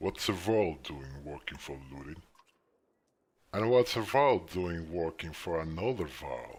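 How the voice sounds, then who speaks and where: The speaker is a man using a put-on character voice. It lands very deep and low. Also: fairly slow pace. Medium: game stream.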